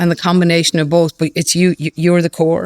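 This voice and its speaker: A woman speaks at a fairly low pitch, and the sound is dry and close with no echo. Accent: Irish. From Ireland. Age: 50s. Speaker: fintech CEO. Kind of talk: podcast interview. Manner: repetitive, with false starts.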